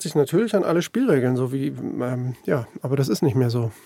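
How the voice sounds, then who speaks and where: A man talks at a moderate pace. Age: 50s. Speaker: newspaper journalist. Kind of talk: conversational interview. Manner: hesitant, with many fillers.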